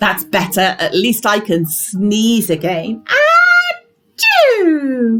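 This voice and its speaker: Over background music, a woman uses a put-on character voice, speaking very slowly at a fairly high pitch with lively intonation. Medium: read story. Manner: complaining, fretful.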